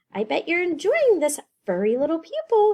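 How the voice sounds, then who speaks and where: In a put-on character voice, the speaker sounds squeaky at an extremely high pitch, with very wide pitch swings and a moderate pace. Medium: read story. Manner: warm, friendly.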